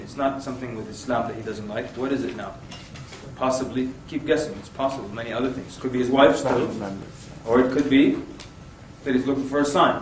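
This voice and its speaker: A man's medium-pitched voice at a fairly quick pace, with big swings in loudness, audible room echo and noticeable background noise. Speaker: Islamic preacher and workshop trainer. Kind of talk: workshop lecture. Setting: room with live audience. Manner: animated.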